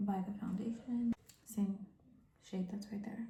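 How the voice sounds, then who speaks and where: Quiet and somewhat breathy, a woman with a dark, mellow, calm tone and medium pitch speaks at a fairly slow pace with monotone, flat intonation. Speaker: beauty vlogger. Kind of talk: makeup tutorial chat. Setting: bathroom at home. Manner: calm, quiet.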